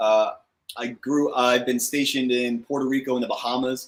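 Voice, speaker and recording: This man has an ordinary speaking voice and an American accent. He talks at a medium pitch and a fairly slow pace. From New Jersey. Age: 30s. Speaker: cigar channel host, coast guard officer. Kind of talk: casual chat. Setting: live stream video call. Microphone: echo on the stream.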